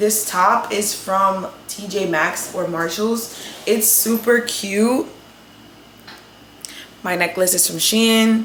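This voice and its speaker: A woman speaks with a New York accent at a medium pitch and fairly even intonation. Noticeable background noise sits behind her. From New York City. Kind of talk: casual talk to camera.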